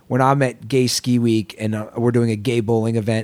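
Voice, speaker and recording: A man speaks at medium pitch and a fairly quick pace, in an ordinary speaking voice. The recording is very clean with a silent background. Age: 30s. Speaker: podcast host. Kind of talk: casual interview conversation.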